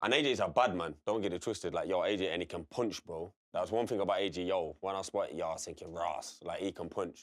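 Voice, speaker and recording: Very deep and low in pitch, a man talks at a very fast pace. He has a Derby accent and ordinary pitch variation. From English East Midlands, Derby. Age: 30s. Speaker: boxer. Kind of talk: casual chat.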